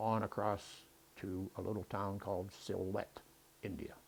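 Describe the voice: Low-pitched, with vocal fry and a slightly husky edge, a man speaks with little pitch movement.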